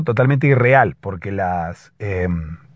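A man talks with lively intonation. His voice has a slightly husky edge.

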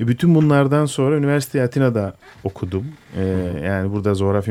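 This man talks very fast. He uses lively intonation. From Istanbul, Turkey (Greek Orthodox family from Imbros). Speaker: musician. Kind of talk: radio interview. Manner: hesitant, many fillers.

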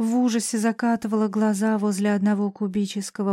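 Words are read aloud here in a natural voice.

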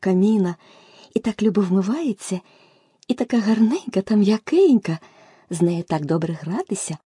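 Someone is reading aloud in a natural voice.

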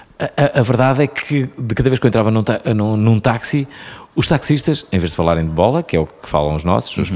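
A man with a European Portuguese accent speaks at a fairly quick pace and medium pitch, his voice swinging very widely in pitch. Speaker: podcast host. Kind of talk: casual interview.

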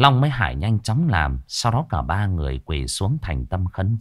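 The clip is reading aloud in a natural voice.

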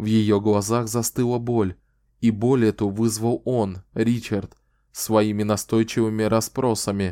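Quiet background, fairly even intonation, and a natural reading voice

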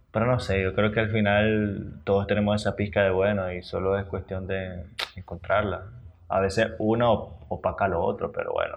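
His fairly low voice stays monotone and flat. This man talks at a moderate pace. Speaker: podcast co-host. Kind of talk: casual chat. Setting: recording at 11 pm, keeping quiet. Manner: holding volume down.

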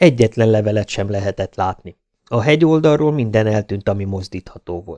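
A natural reading voice with lively intonation over a quiet background.

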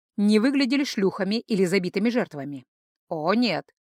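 With lively intonation and a quiet background, the text is read aloud in a natural voice.

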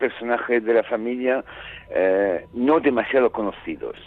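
This is a man's voice. He has an Italian accent. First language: Italian (speaking Spanish). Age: 60s. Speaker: novelist. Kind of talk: interview.

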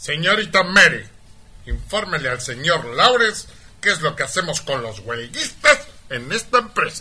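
With a bright, sharp tone and big pitch swings, a man puts on a character voice at a fairly high pitch and a moderate pace.

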